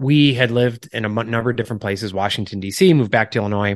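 A man with an ordinary speaking voice talks at a fairly quick pace and a medium pitch. His pitch varies an ordinary amount, and the background is quiet. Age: 40s. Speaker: author and lifestyle coach. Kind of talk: interview conversation.

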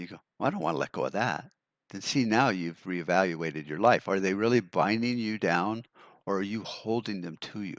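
This is an ordinary speaking voice at a fairly quick pace, with ordinary pitch variation. The loudness swings widely against a quiet background. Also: man, fairly low pitch for a man. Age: 60s. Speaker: podcaster on prepping and survival. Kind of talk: solo podcast monologue. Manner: casual, with fillers and repetitions.

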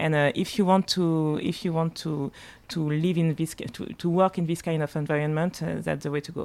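Over a silent background in a very clean recording, a woman with a very deep, low pitch speaks at a moderate pace with fairly even intonation. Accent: French. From Martinique and Paris. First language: French. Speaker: spirits marketing director. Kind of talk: casual chat. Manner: halting.

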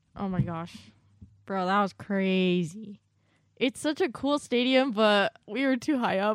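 A woman with a normal speaking voice speaks at a fairly slow pace in a medium pitch. Her pitch varies in an ordinary way over a quiet background. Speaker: college student, host's daughter. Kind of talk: casual chat.

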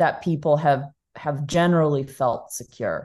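A dark, mellow tone comes through in a Texas accent at a moderate pace. The background is quiet. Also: woman. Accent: American (Texas). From Texas (Dallas). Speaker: bitcoin nonprofit founder. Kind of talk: interview.

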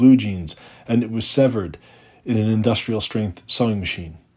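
The voice has a dark, mellow tone and ordinary pitch variation. The recording is very clean, with a silent background. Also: man. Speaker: poet. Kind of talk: poetry reading, reading aloud a protest poem. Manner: measured, deliberate, rhythmic.

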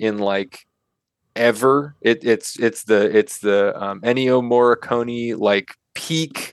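In an American accent, a man with an unremarkable speaking voice talks at medium pitch and a fairly slow pace, the sound dry and close with no echo. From US Pacific Northwest, Seattle area. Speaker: video game director. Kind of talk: casual interview chat.

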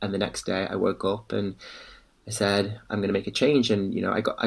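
A man speaks with a Liverpool accent. His pitch is fairly low. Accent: Liverpool (Scouse). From Liverpool, northern England. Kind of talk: interview conversation.

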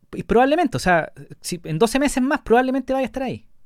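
This man talks at a very fast pace with a Chilean accent and very wide pitch swings. The sound is dry and close with no echo, on a very clean recording with a silent background. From Chile, La Serena. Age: 30s. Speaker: podcast host. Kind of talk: casual interview chat.

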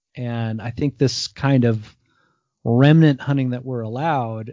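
In an American accent, a man talks at a moderate pace and medium pitch. It's a normal speaking voice with ordinary pitch variation. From US Northeast, New Jersey. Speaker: podcast host, hunter and cook. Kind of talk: casual interview chat.

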